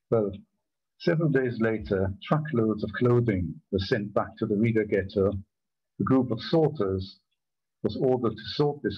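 A somewhat breathy man at a fairly slow pace, with long, frequent pauses, ordinary pitch variation, and a quiet background. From Germany. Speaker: Holocaust survivor. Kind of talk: testimony talk. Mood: grave, measured. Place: home room. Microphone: video call.

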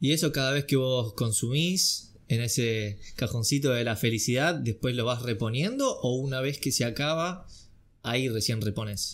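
A man with a Rioplatense accent speaks at a moderate pace. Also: medium pitch for a man, ordinary pitch variation, very even loudness. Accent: Argentine Rioplatense Spanish. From Argentina. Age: 20s. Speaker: acting student; podcast host. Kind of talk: casual chat. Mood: relaxed, cheerful. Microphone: studio mic.

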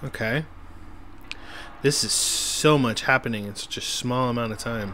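Over noticeable background noise, a man with a medium pitch speaks at a moderate pace with fairly even intonation. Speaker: gaming video host. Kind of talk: casual let's-play commentary.

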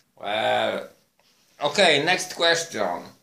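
A man with a Polish accent talks at a very slow pace. Light background noise can be heard. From Poland. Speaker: vlogger. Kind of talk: monologue to camera. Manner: halting. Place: home room. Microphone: phone near.

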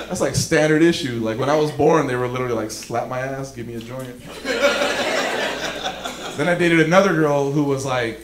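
A man with an American accent talks at a fairly quick pace but leaves long, frequent pauses. Loud background noise is present. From Los Angeles, California. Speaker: stand-up comedian. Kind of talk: live stand-up comedy set. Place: stage. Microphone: handheld.

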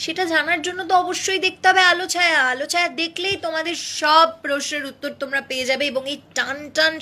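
A woman uses a raised, projected voice with ordinary pitch variation. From Malda, West Bengal, India; West Bengal, India. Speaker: TV serial actress; television serial actress. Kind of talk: live Q&A with fans. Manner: casual, chatty. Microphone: phone near.

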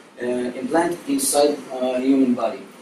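Light background noise and audible room echo around a man talking at a moderate speed. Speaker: presenter. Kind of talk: class presentation. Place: classroom. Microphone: camera far.

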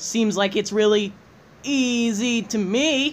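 A man's high-pitched, put-on character voice at a fairly slow pace. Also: ordinary pitch variation. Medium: voice reel.

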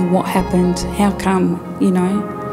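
A woman speaks with clear music in the background. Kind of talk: interview answer. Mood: ashamed, reflective. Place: studio.

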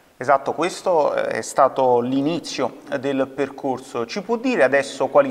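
Fairly slow, fairly high-pitched speech from a man, with ordinary pitch variation. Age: young. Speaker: TV presenter. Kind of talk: TV interview. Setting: video call. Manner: formal. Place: studio.

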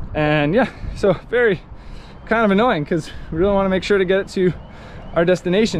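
Speaking at a fairly quick pace, a man uses a high pitch with ordinary pitch variation. Noticeable background noise runs underneath. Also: dry sound with no echo. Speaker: sailing travel vlogger. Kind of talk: casual vlog chat. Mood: frustrated, annoyed. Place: waterside. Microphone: phone near.

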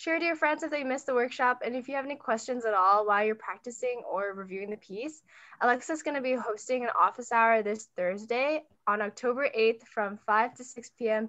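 A woman speaks at a fairly quick pace with a fairly high pitch and ordinary pitch variation. Her tone is bright and sharp over a quiet background. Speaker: team organizer. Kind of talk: announcements. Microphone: video call.

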